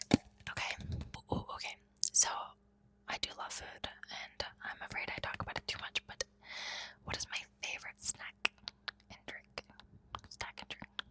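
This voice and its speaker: Whispering at a fairly slow pace with long, frequent pauses, a woman shows big swings in loudness in a dry, close sound with no echo and noticeable background noise. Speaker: ASMR creator. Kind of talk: ASMR rambling, casual chat to camera. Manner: whispered, soft-spoken.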